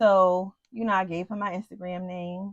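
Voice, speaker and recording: An animated tone comes through a dry, close recording with no echo and a quiet background. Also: woman. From United States. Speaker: YouTube couple vlogger. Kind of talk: casual storytelling chat.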